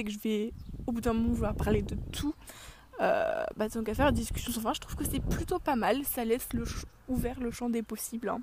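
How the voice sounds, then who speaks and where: A woman speaks over noticeable background noise. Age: 20s. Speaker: podcast host. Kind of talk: casual chat. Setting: outdoors.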